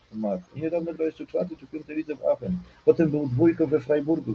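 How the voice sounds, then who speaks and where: A man is speaking. His voice is somewhat breathy, with a dark, mellow tone. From Silesia, Poland. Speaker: goalkeeper coach. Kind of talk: casual interview chat.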